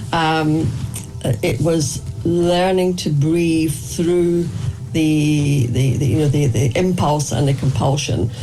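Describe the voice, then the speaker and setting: A very slow delivery over noticeable background noise. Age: 60s. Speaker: artist and meditation researcher. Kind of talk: interview. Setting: radio interview. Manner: halting, many fillers and repetitions.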